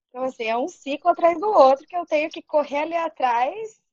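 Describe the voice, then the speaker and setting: A woman's voice, dry and close, with no echo. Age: 30s. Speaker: podcast panelist, advertising graduate. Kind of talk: casual chat.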